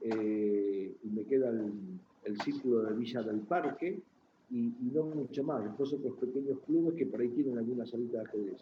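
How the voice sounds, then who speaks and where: A man with a Buenos Aires accent, medium in pitch, at a moderate pace with ordinary pitch variation. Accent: Rioplatense Spanish (Buenos Aires). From Argentina. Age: 60s. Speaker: chess journalist. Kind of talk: interview.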